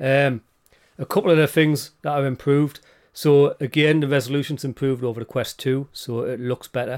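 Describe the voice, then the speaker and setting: A man talks at a fairly quick pace with a British accent. His pitch is fairly high and his intonation fairly even. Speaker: podcast co-host. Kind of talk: casual chat.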